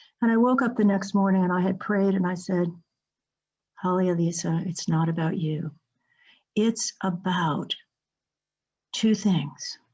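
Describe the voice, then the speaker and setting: Against a quiet background, a somewhat breathy woman at a medium pitch speaks at a fairly slow pace with ordinary pitch variation and long, frequent pauses. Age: 70s. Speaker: workshop presenter. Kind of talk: interactive online workshop talk.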